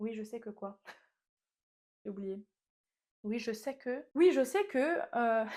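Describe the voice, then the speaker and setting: A woman with a fairly high, dark, mellow voice uses lively intonation, big swings in loudness and long, frequent pauses on a very clean recording with a silent background. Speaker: small business owner and vlogger. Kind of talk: casual vlog monologue. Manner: fast; halting, stumbling over words.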